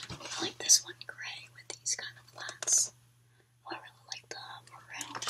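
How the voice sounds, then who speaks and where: Whispering and soft-spoken, a woman talks at a moderate pace with big swings in loudness over noticeable background noise. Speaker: vlogger. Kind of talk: casual vlog chat. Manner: soft close whisper about clothes. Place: home room. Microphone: webcam.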